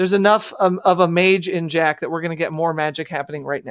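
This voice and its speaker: A woman with a fairly low voice, a dry sound with no echo, and a quiet background. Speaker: show host. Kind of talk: casual panel chat. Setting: video call. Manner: animated. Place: home room.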